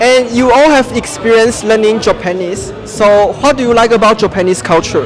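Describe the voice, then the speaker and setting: With music in the background, a man with a Chinese accent speaks in a high pitch with ordinary pitch variation, very even loudness and hardly any pauses. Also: moderate pace. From Taiwan. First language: Mandarin Chinese. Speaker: YouTuber interviewing foreigners. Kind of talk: casual street interview.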